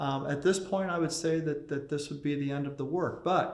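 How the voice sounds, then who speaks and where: Amid audible room echo and music in the background, a man speaks at a fairly high pitch with fairly even intonation. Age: 60s. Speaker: ship model carver. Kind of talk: documentary interview.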